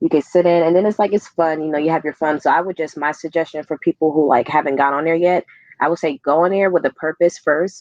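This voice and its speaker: A woman talks at a very fast pace in a fairly low pitch, the sound dry and close with no echo against a quiet background. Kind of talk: casual chat. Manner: animated.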